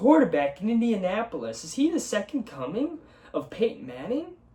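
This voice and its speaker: An animated tone with very wide pitch swings at a moderate pace, over noticeable background noise. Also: man. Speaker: sports podcast host. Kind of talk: solo sports talk show. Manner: casual, profane, animated.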